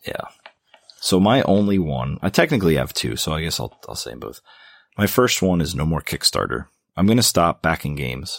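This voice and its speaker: Very deep and low with vocal fry, a man's voice swings very widely in pitch at a fairly quick pace, recorded very cleanly against a silent background with a dry, close sound and no echo. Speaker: board game podcast co-host. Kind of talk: casual chat.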